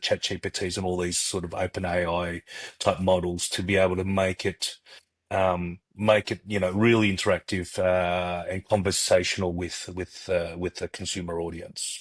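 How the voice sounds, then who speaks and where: With an Australian accent, a man speaks at a very deep, low pitch and a moderate pace. The sound is dry and close with no echo, on a very clean recording with a silent background. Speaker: startup co-founder. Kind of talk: podcast interview. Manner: halting, many fillers.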